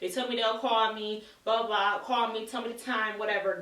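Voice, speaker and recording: A woman's fairly high voice amid noticeable background noise and audible room echo. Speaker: beauty vlogger. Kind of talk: casual vlog. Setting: far from camera. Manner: loud.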